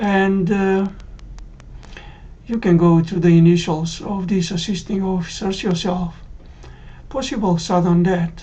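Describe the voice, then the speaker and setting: Somewhat breathy and fairly slow, a woman speaks with fairly even intonation and long, frequent pauses in a room with audible echo. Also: medium pitch for a woman. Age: 60s. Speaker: cardiac arrest survivor. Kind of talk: testimony.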